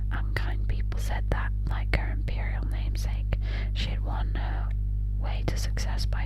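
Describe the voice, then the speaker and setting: A woman whispering in a soothing tone at a moderate pace over noticeable background noise. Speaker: ASMR audiobook reader. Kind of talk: audiobook reading of a classic novel. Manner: up-close whisper, soothing.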